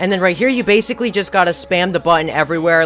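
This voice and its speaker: This man talks at a very fast pace with a high pitch and ordinary pitch variation. Noticeable background noise runs under his voice. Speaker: gaming YouTuber. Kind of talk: gameplay commentary. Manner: animated; stuttering, halting.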